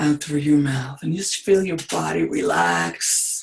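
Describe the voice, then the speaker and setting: Her pitch is very deep and low, and the woman speaks with an American accent. The pace is fairly slow, with ordinary pitch variation. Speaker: coach. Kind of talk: guided meditation.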